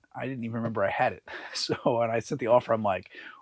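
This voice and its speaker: Very fast speech from a man with a medium pitch. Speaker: online reseller. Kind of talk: casual vlog.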